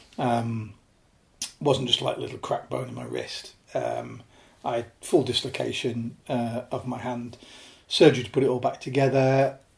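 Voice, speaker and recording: In a northern English accent, a man speaks at a fairly slow pace. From northern England, Lake District (born Yorkshire). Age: 50s. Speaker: alpinist. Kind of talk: interview podcast conversation. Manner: halting with many fillers.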